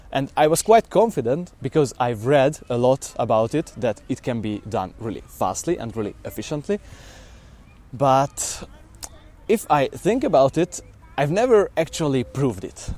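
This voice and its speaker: A man's fairly high voice at a moderate pace, with very wide pitch swings. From Hungary. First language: Hungarian. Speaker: language learning vlogger. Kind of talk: documentary-style talk to camera. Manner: hesitant, with fillers.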